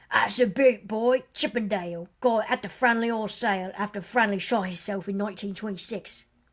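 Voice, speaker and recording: A cackling, put-on character voice from a woman at medium pitch, with fairly even intonation, a fairly quick pace and hardly any pauses. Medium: read story. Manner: sly, teasing, stubborn.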